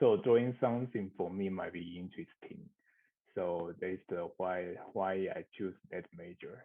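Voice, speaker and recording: A man speaks with a Mandarin accent in a very deep, low pitch. His pace is fairly slow, with ordinary pitch variation. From Taiwan. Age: 30s. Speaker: architectural designer. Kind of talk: interview. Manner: halting.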